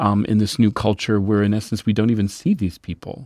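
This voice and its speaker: A man's fairly low-pitched voice with a dark, mellow tone, at a moderate pace on a very clean recording with a silent background. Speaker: podcast host. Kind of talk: interview, scripted intro then casual conversation.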